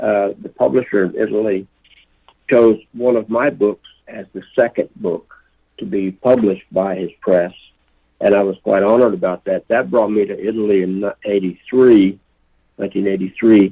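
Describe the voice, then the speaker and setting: A man speaks in an ordinary speaking voice, pitched fairly low and delivered at a fairly slow pace. His pitch varies in an ordinary way. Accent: American. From Oklahoma, US. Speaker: poet and native rights activist. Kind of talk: interview. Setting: phone call.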